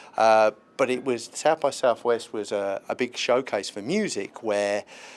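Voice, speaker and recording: A man in a British accent with a medium pitch and ordinary pitch variation. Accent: British, noticeable. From London (Hackney), England. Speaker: tech incubator representative. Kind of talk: interview. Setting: live event interview at a festival.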